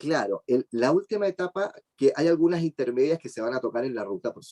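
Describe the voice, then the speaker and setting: A man with a Chilean accent speaks at a fairly quick pace in a fairly high pitch, his dark, mellow tone carrying ordinary pitch variation over a dry, close sound with no echo. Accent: Chilean, drops the s sounds. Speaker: job search speaker. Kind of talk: webinar talk. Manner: fast.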